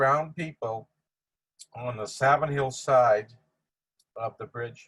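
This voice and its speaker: A man with a Boston accent at a fairly slow pace, with ordinary pitch variation. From Boston, Massachusetts (Dorchester). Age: 80s+. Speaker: family friend giving eulogy. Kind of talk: memorial tribute speech. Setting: virtual video tribute.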